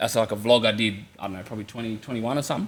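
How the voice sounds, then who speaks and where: Bright and sharp in tone, a man speaks with an Australian accent at medium pitch and with fairly even intonation. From Western Australia, Kalgoorlie. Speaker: social media content creator. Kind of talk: casual chat.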